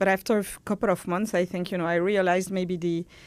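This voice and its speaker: A woman with a French accent at medium pitch, on a very clean recording with a silent background. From France. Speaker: pharma industry executive. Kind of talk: interview. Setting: studio. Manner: halting, many fillers.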